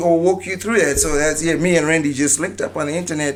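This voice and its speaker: A high male voice with a Zimbabwean accent and fairly even intonation. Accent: African accent, Zimbabwean. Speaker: dancehall and reggae artist. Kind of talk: casual podcast interview.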